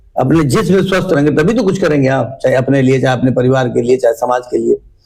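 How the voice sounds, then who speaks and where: A man talks with lively intonation. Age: 60s. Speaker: local politician. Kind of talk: interview.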